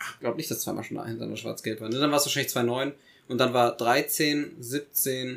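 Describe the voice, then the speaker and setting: An ordinary speaking voice from a man, medium in pitch, at a fairly quick pace with fairly even intonation. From Germany, Eifel region. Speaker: podcast co-host. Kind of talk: casual chat. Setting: studio.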